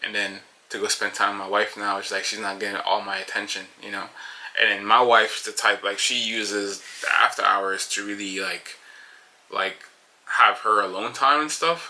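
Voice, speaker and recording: A man talks with fairly even intonation but big swings in loudness. Noticeable background noise is present. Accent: Jamaican. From Jamaica, moved to Paterson, New Jersey at 14. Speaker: podcast host, construction company co-owner. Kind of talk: solo casual monologue. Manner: fast; hesitant, many fillers.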